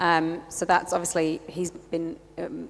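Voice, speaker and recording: Here a woman talks with a fairly low pitch. Her intonation is monotone and flat. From England. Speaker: church planter. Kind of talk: casual interview.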